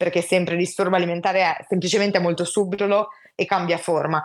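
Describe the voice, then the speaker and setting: Her intonation monotone and flat, a woman at a medium pitch speaks at a fairly quick pace. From Italy, Genoa. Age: 20s. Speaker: psychology student sharing her illness experience. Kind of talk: personal testimony in casual interview.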